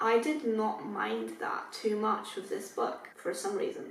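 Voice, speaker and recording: A woman talks fairly slowly in a room with audible echo, noticeable noise also present. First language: not English. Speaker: book youtuber. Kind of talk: casual chat. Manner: casual, filler-heavy.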